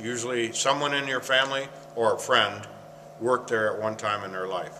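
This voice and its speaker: There is audible room echo as a man with an American accent talks at a fairly quick pace with fairly even intonation. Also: medium pitch for a man. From Michigan, US Midwest. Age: 60s. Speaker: former paper mill worker. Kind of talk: interview. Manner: halting.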